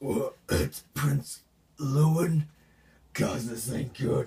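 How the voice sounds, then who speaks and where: A man's raspy, put-on character voice at a medium pitch, with ordinary pitch variation and a very slow pace. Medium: solo performance. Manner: rough, crude.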